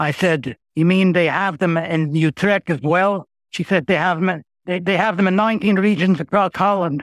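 In a dry, close sound with no echo, a man with a high pitch talks with ordinary pitch variation. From Montreal, Quebec. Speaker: humorist and retired lawyer. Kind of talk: casual interview. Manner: halting, repeats words.

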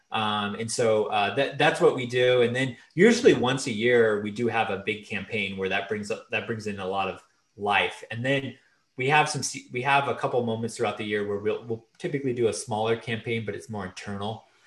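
In a plain, everyday voice, a man talks at a fairly quick pace with a medium pitch and fairly even intonation. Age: 30s. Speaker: online pastor. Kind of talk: casual interview.

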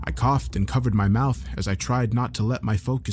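An unforced reading voice, its pitch changing in a typical way

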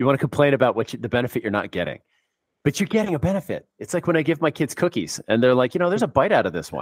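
In a dry, close recording with no echo, a man talks very fast at a fairly high pitch with very wide pitch swings and vocal fry. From San Francisco, US West Coast. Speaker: expat financial planner. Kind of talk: casual interview.

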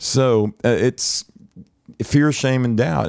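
A plain, everyday voice from a man at a fairly slow pace with ordinary pitch variation, in a dry, close sound with no echo. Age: 60s. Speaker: worship leader. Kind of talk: casual chat.

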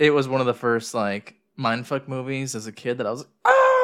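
In an unremarkable speaking voice, a man with an American accent talks at a fairly quick pace and medium pitch, his intonation lively. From United States. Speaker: podcast co-host. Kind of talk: casual chat. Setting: recording in their new house.

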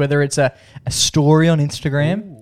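A man with an Australian accent. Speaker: podcast host. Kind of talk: casual chat. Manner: animated.

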